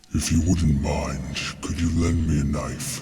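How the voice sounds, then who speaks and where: A man growls in a put-on character voice, his pitch very deep and low, at a fairly slow pace. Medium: read story. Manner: bored, taunting.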